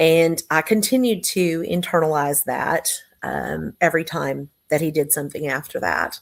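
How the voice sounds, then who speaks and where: A woman with an American accent, fairly low in pitch, at a fairly slow pace, on a very clean recording with a silent background. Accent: Texas accent, slips in occasionally. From Texas. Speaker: business owner. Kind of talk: interview testimony. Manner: hesitant, many fillers.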